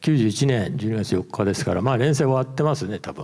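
A man talks with a dark, mellow tone and ordinary pitch variation against a quiet background. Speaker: former magazine editor. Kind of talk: presentation. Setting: stage with audience. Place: hall. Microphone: handheld.

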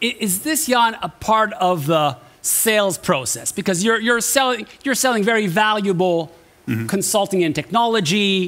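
At a moderate pace, a man speaks high in pitch with lively intonation. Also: very even loudness. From Canada. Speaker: event host. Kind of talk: event moderation. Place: stage.

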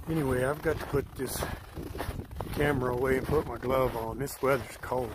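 At a fairly quick pace yet with long, frequent pauses, a man speaks in a monotone, flat intonation, the sound dry with no echo under noticeable background noise. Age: old. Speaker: hiking vlogger. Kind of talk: outdoor vlog narration. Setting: outdoors on a snowy mountain trail. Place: forest. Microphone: phone near.

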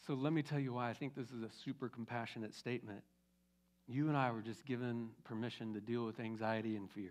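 Very fast speech comes from a man with a medium pitch and fairly even intonation. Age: 50s. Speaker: pastor. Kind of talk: sermon. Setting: church. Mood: warm, encouraging. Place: church. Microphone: headset.

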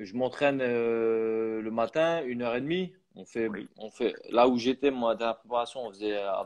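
Against a quiet background, a man with a medium pitch and ordinary pitch variation speaks at a very slow pace. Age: 30s. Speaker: professional boxer; guest. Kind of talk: interview. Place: home room. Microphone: earbuds.

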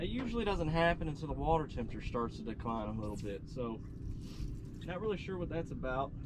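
Over clear background noise, a man speaks at a fairly high pitch with lively intonation.

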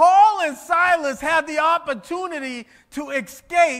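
A raised, projected voice with a bright, sharp, animated tone and lively intonation comes through over a quiet background. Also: man. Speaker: preacher. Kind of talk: sermon. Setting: church with congregation. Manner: animated, exhorting the congregation with repeated phrases and direct calls to respond. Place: church.

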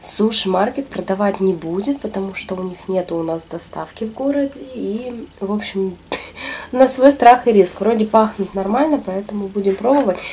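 With light background noise behind her, a woman talks at a moderate pace. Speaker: food vlogger. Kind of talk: casual mukbang vlog chat. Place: home room.

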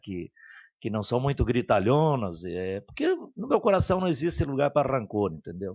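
A man with a southern Brazilian accent talks at a moderate pace. His pitch swings very widely against a quiet background. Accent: southern Brazilian (gaúcho) Portuguese. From Santo Ângelo area, Rio Grande do Sul, Brazil; Rio Grande do Sul, Brazil. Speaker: city councillor. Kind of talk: radio interview. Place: studio. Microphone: studio mic.

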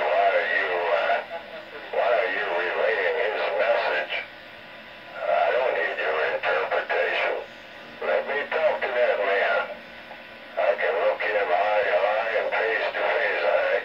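Long pauses come often in this man's speech. His pace is fairly slow. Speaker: CB radio operator. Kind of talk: heated radio argument. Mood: irritated, confrontational. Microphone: two way radio.

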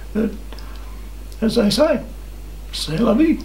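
There is audible room echo. A man's voice carries through it. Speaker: cycling vlogger. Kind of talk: casual vlog storytelling. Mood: warm, amused. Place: home room.

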